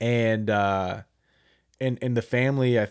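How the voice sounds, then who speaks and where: The recording of this man's voice is very clean, and the background is silent. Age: 20s. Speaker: podcast co-host. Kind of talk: casual chat.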